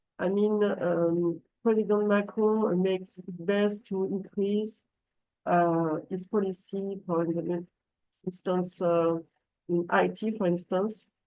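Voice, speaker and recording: Speaking at a very slow pace with long, frequent pauses, a woman keeps a medium pitch and monotone, flat intonation. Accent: French. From France. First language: French. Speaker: translation company manager. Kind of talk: business webinar presentation. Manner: halting, many fillers and restarts.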